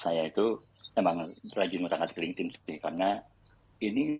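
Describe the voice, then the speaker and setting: A man speaks in a normal speaking voice, pitched fairly low. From Indonesia. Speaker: tech company employee sharing career advice. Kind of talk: casual panel discussion on audio chat room. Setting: online audio chat room.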